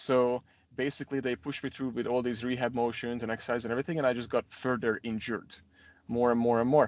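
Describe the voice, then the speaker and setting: Against a quiet background, a man with a Hungarian accent speaks very fast at a medium pitch in a monotone, flat intonation, the sound dry and close with no echo. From Hungary, Budapest. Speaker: gym owner. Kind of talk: interview.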